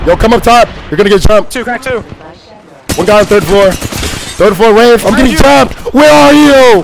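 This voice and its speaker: A man's high voice with lively intonation, hardly any pauses and noticeable background noise. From Florida. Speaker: gaming streamer. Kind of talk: live gameplay commentary. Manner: fast, animated.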